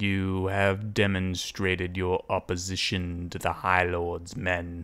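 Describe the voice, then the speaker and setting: A man's very deep, low voice at a fairly slow pace. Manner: suspicious, formal.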